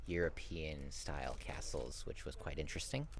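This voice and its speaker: A man with an American accent speaks at a moderate pace. Audible room echo surrounds him. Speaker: travel vlogger. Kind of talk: vlog outro monologue. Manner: casual with frequent fillers.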